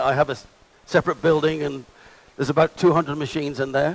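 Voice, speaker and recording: Speaking very fast, a man with a New Zealand accent uses a fairly high pitch. The sound is dry and close, with no echo. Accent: New Zealand accent, remarked as funny. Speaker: conference speaker and sponsor. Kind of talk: conference presentation. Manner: animated. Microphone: bad audio in stream.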